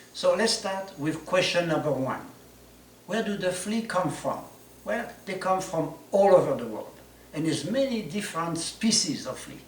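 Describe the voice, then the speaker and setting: Noticeable background noise accompanies a man with a high voice speaking at a moderate pace. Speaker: flea circus showman. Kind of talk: instructional presentation to camera.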